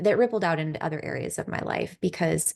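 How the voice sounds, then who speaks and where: A soft-spoken woman with a fairly low pitch, at a moderate pace. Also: quiet background. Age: 40s. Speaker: podcast host and yoga teacher. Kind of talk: casual chat. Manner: soothing.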